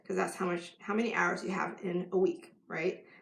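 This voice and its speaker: A woman with an ordinary speaking voice talks at a moderate pace and medium pitch with fairly even intonation. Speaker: life coach. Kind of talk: live stream talk to camera.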